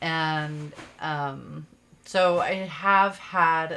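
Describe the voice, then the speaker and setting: This woman's voice has a bright, sharp tone. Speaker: podcast co-host. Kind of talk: casual chat. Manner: loud.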